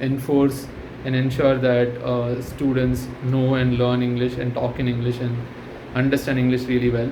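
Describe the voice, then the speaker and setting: With audible room echo and noticeable background noise, a man speaks at a medium pitch and a moderate pace in a monotone, flat intonation. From India, Tamil-speaking. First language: Tamil. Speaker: channel host, commentator. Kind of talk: casual monologue. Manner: hesitant, many fillers.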